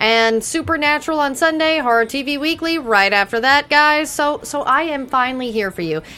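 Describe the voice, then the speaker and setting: An American woman talks at a moderate pace in a raised, projected voice, with hardly any pauses. Her pitch sits high, with ordinary variation. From Texas. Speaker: TV after-show co-host. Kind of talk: casual chat.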